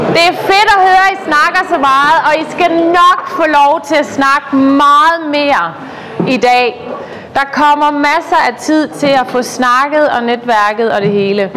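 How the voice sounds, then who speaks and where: A woman's raised, projected voice, high-pitched, with very even loudness, lively intonation and a very slow pace, plus noticeable background noise and audible room echo. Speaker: network group facilitator. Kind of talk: meeting facilitation speech. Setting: room with chatting crowd. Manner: halting, many fillers.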